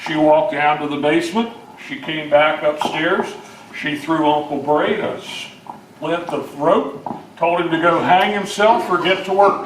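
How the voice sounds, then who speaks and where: With ordinary pitch variation, a man talks at a fairly slow pace while noticeable background noise sits behind him. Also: fairly high pitch for a man. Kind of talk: oral history talk to an audience. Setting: live audience gathering.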